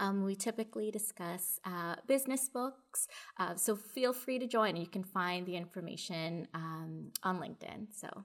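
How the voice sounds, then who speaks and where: A woman with a Canadian accent speaks in an unremarkable speaking voice at a moderate pace. Her pitch is medium, with ordinary pitch variation. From Canada, Toronto. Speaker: project manager in audiovisual industry. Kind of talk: casual interview. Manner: frequent filler words (um).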